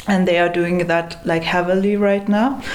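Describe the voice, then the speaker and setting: A woman speaks with monotone, flat intonation, with audible room echo and noticeable background noise. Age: 30s. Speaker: activist. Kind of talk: interview.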